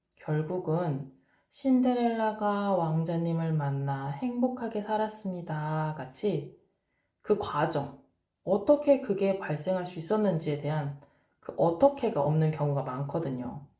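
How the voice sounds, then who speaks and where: A woman speaks at a very slow pace with a fairly low pitch, a dark, mellow tone and a somewhat breathy quality. Her pitch swings very widely, and room echo is audible. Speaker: parenting and study coach. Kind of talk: advice talk to camera.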